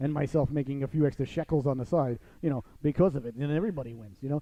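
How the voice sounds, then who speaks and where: A man with an American accent talks at a very fast pace in a fairly high voice. There is noticeable background noise. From US Northeast, Long Island, New York. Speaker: radio host. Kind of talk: casual talk show chat. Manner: animated.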